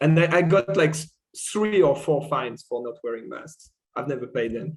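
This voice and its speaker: In a French accent, a man with a fairly high, somewhat breathy voice talks at a moderate pace with ordinary pitch variation and big swings in loudness. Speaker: podcast guest. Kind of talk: casual chat.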